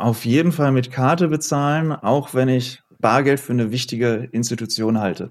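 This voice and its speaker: In a plain, everyday voice, the speaker keeps a moderate pace with hardly any pauses, very even loudness and ordinary pitch variation, on a very clean recording with a silent background. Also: man, medium pitch for a man. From Ruhr area, Oberhausen. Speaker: law professor. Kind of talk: panel discussion.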